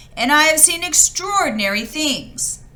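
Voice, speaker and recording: At a moderate pace, a woman performs a put-on character voice pitched high. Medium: read story. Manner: excited, boastful.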